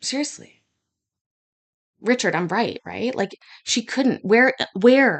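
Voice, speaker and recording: Against a quiet background, a woman speaks with a fairly high pitch and lively intonation. Her tone is bright, sharp and animated. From Scotland. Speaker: streamer reacting to court hearings. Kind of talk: live reaction commentary. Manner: fast.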